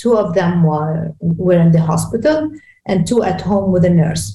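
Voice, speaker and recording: A woman with a Lebanese accent speaks in a dark, mellow tone at medium pitch. Her moderate pace comes with vocal fry and ordinary pitch variation. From Lebanon; Beirut, Lebanon. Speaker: executive coach. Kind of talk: interview. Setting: video call.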